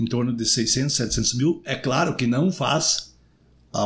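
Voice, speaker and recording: Somewhat breathy male voice at a medium pitch, fairly quick pace and ordinary pitch variation. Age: 60s. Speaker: retired police chief and city councillor. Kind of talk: podcast interview.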